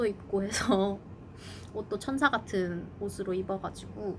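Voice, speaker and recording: A woman speaks over noticeable background noise. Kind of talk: casual talk to camera.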